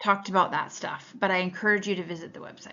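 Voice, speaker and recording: This woman speaks at a medium pitch with vocal fry. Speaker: student presenter. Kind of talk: class presentation. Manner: fast; hesitant, many fillers.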